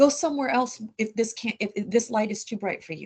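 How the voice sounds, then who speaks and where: A woman with a fairly high pitch speaks at a moderate pace in an energetic, animated tone, her pitch varying in an ordinary way. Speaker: small business advisor. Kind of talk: interview. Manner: loud.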